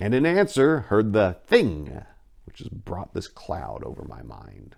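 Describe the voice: A man's low, slightly mellow put-on character voice with vocal fry, very wide pitch swings and a fairly slow pace. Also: very clean recording, silent background.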